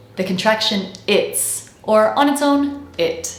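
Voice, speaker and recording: A woman speaks with lively intonation. There is noticeable background noise behind her. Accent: General American. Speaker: accent coach. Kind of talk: educational pronunciation lesson to camera.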